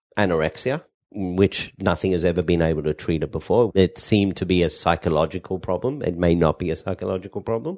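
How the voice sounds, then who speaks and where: A man with an Australian accent speaks in a very deep, low pitch. His pitch varies in an ordinary way against a quiet background. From Perth, Western Australia. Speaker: pharmacist and cannabis entrepreneur. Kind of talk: podcast interview. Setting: co-working space. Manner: animated.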